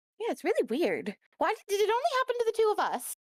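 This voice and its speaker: A woman's squeaky, put-on character voice at an extremely high pitch, with very wide pitch swings, a very fast pace and a dry, close sound with no echo. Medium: actual play.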